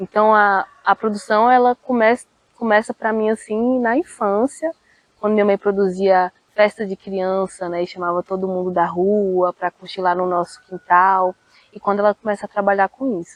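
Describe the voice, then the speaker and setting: A woman in a normal speaking voice, medium in pitch, with fairly even intonation at a moderate pace. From Brazil, Federal District (Planaltina). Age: 20s. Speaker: cultural producer and poet. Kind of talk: interview.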